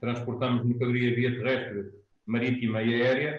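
A man at a moderate pace with monotone, flat intonation and audible room echo. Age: 40s. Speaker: business founder. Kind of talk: panel interview.

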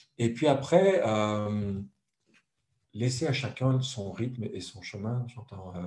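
Very slowly and with long, frequent pauses, a man talks in a dark, mellow, somewhat breathy voice with lively intonation and big swings in loudness. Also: medium pitch for a man. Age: 50s. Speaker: author, translator and speaker. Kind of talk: interview.

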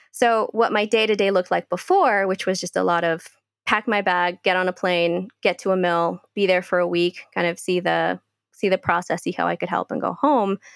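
In a very clean recording with a silent background and a dry, close sound without echo, a woman speaks at a moderate pace with a medium pitch and fairly even intonation. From California, Bay Area (born in Guatemala, moved at five). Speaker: coffee processing consultant, former winemaker. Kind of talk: interview conversation.

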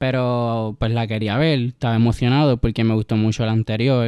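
This man's voice has a dark, mellow tone at medium pitch, delivered in a flat monotone. He talks at a fairly quick pace, and the recording is dry and close with no echo. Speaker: podcast guest, film fan. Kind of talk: casual chat. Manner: shy at first.

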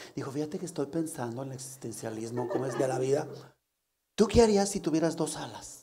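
A man with a fairly high voice talks at a very fast pace with lively intonation and big swings in loudness. Room echo is audible. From León, Guanajuato, Mexico. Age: 50s. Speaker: comedian. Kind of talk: casual comedic chat.

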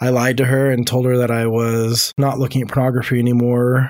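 Here is a man speaking at a fairly quick pace in a normal speaking voice. His pitch sits in the medium range. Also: very clean recording, silent background. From moved around the US, born in Louisiana. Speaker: marriage and family therapist. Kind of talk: personal testimony. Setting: studio.

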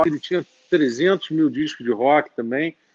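A man talks in a plain, everyday voice, pitched fairly high, with ordinary pitch variation. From Brazil, Rio de Janeiro. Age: 40s. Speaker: rock musician. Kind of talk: casual chat. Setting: live stream.

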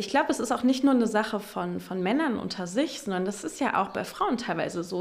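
A woman speaks at a very fast pace. Her fairly high voice has lively intonation. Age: 20s. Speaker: sex therapist in training. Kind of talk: interview. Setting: therapy practice room.

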